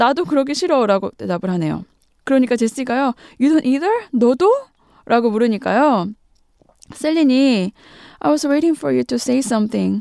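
Pausing long and often, a woman speaks high for her sex with lively intonation and a dark, mellow tone, in a dry, close sound with no echo. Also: moderate pace. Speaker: radio host teaching English through film. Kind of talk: language lesson on radio.

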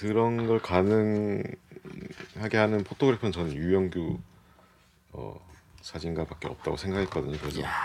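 Against noticeable background noise, a man with a very deep, low pitch talks at a moderate pace with lively intonation. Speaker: fashion editor. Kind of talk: casual studio chat. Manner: terse, says little.

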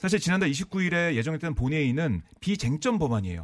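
Speaking at a fairly quick pace, a man with a fairly high pitch sounds somewhat breathy. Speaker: political reporter. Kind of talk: news analysis interview.

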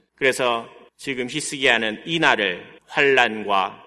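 A man with a medium-pitched voice and a bright, sharp tone speaks at a very slow pace, with audible room echo. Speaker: pastor. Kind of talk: sermon.

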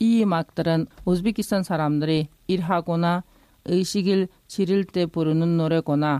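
Very clean recording, silent background, dry and close with no echo. A woman with a fairly low pitch and a dark, mellow tone speaks fairly slowly with fairly even intonation. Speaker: migrant news correspondent. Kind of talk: news reading.

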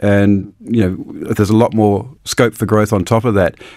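Flat, monotone speech with a New Zealand accent at a moderate pace, on a very clean recording with a silent background. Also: man. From New Zealand, Auckland. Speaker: ambassador. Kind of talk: radio interview. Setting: studio.

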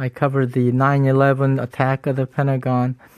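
Heard in a dry, close sound with no echo, a man with an American accent speaks in a fairly high pitch. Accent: American English, Korean American. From US. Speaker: retired photojournalist. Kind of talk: interview. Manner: halting, with restarts.

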